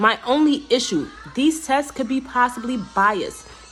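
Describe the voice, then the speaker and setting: A woman's high voice with ordinary pitch variation, music in the background. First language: not English. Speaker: teacher and graduate student. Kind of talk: class video presentation. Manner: fast; casual, conversational.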